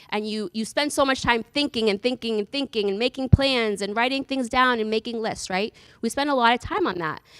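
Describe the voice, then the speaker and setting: A woman with an American accent talks at a fairly quick pace with hardly any pauses, her fairly high voice showing ordinary pitch variation in a dry, close recording with no echo. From Massachusetts, US Northeast. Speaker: church talk speaker. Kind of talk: talk to a church group. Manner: fast.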